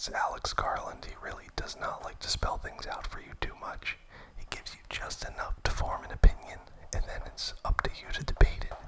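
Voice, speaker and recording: A whisper amid noticeable background noise. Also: moderate pace. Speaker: film enthusiast ASMR host. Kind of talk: whispered ASMR movie ramble. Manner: whispered.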